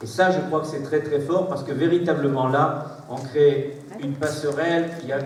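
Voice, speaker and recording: Heard through audible room echo and noticeable background noise, a man speaks at a moderate pace with fairly even intonation. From southern France. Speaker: mayor. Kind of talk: public speech. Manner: halting.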